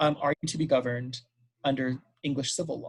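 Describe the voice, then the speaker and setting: A man with an American accent sounds somewhat breathy. His intonation stays monotone and flat. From US, Los Angeles. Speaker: history professor. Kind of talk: Q&A answer in academic talk. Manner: hesitant fillers, frequent um.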